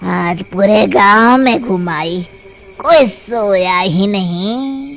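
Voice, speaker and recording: A cartoonish character voice at middle pitch drawls out words at a very slow pace. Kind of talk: cartoon horror acting.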